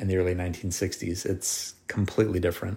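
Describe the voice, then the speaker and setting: A man speaks in a very deep, low pitch with monotone, flat intonation. His voice is somewhat breathy in a very clean recording with a silent background. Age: 40s. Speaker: podcast host. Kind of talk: casual chat.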